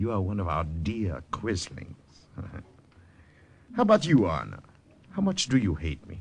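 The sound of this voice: In a put-on character voice, a man speaks at a low pitch and a fairly slow pace, with very wide pitch swings and vocal fry.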